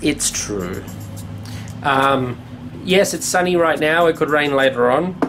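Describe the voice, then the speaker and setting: Over background music, a man with a fairly high voice speaks at a fairly slow pace, with long, frequent pauses and ordinary pitch variation. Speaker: cottage renovator. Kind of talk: casual talk to camera.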